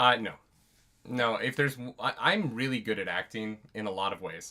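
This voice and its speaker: The voice is loud, with a bright, sharp tone. It moves at a moderate pace. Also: man, medium pitch for a man, ordinary pitch variation. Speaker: book club podcast co-host; actor. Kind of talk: casual chat.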